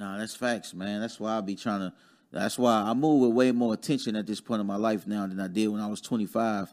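A man with an American accent talks at a fairly quick pace in an unremarkable speaking voice, fairly low in pitch with fairly even intonation, on a very clean recording with a silent background. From Dayton, Ohio (US Midwest). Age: 30s. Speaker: real estate investor. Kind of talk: casual chat.

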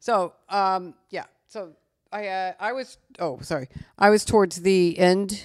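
In a plain, everyday voice, a woman with an American accent talks at medium pitch, with ordinary pitch variation and big swings in loudness. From Missouri, small town near St. Louis. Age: 60s. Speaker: podcast guest, businesswoman and real estate broker. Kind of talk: casual chat.

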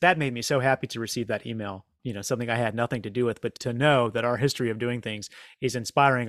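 A man with an American accent speaks with fairly even intonation. The sound is dry and close with no echo, on a very clean recording with a silent background. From US South. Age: 40s. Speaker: comedian and prank organizer. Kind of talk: interview conversation.

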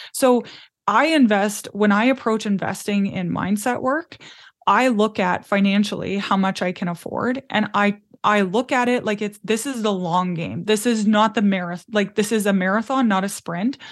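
An ordinary speaking voice from a woman with a Canadian accent, at a moderate pace and medium pitch with ordinary pitch variation. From Canadian prairies. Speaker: business mentor. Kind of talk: interview.

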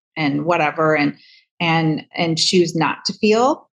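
In an American accent, a woman speaks with a plain, everyday voice, a fairly low pitch, and ordinary pitch variation. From US Midwest, Michigan. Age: 50s. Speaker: hairdresser and author. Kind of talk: interview. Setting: video call.

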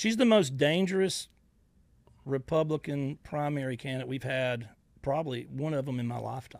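A man with a Southern US accent and a fairly high pitch, at a moderate pace, on a very clean recording with a silent background. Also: ordinary pitch variation. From US South, Georgia / Florida Panhandle. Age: 50s. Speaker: social media personality, army veteran. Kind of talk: interview. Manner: halting, many fillers.

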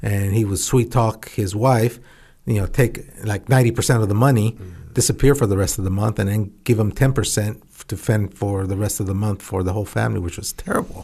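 A man with an American accent, fairly low in pitch and somewhat breathy, at a fairly quick pace with fairly even intonation. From central California. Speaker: former astronaut. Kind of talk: interview.

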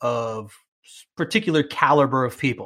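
A man with a New York accent speaks at a fairly high pitch, using ordinary pitch variation. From New York (Queens). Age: 40s. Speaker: bilingual TV host and podcaster. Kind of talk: interview.

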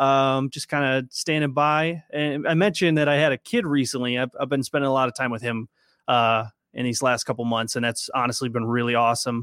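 Here is an ordinary speaking voice: a man with an American accent, medium pitch and fairly even intonation, speaking fairly quickly. The sound is dry and close with no echo, in a very clean recording with a silent background. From Minnesota. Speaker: Marine veteran and fantasy football podcaster. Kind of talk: casual chat.

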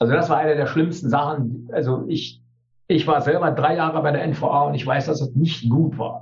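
A man speaks at a moderate pace with a fairly high pitch and fairly even intonation. Audible room echo surrounds the voice. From East Germany. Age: 60s. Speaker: teacher and trade unionist. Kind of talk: interview.

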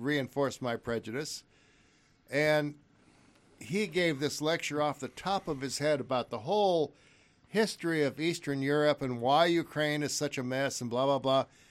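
A man talks at a moderate pace in an ordinary speaking voice, fairly high for a man, with ordinary pitch variation. The recording is very clean, with a silent background. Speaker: podcast co-host. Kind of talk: casual chat. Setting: studio.

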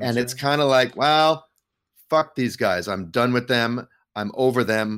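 Here is a man with an unremarkable speaking voice. He talks at a moderate pace in a medium pitch with ordinary pitch variation. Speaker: co-host. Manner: joking, sarcastic.

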